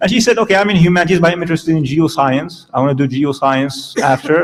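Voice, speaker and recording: Over noticeable background noise, a man speaks at a very fast pace with a fairly high pitch. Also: ordinary pitch variation. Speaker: professor. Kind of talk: lecture.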